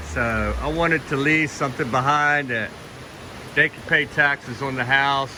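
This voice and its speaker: A man with a fairly high pitch speaks at a moderate pace amid noticeable background noise. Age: 60s. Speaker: retired vlogger. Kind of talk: casual vlog narration.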